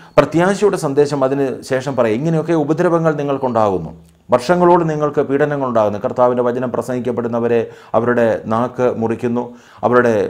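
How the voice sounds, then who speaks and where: A man is speaking with ordinary pitch variation. The background is quiet. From Kerala, India. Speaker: pastor. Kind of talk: Bible study teaching. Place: home room. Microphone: lapel.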